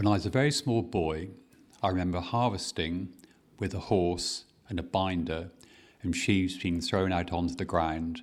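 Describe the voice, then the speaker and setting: In a very clean recording with a silent background, a man with a Dorset accent speaks at a moderate pace in a very deep, low pitch with ordinary pitch variation. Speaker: farmer. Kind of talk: oral history interview answer.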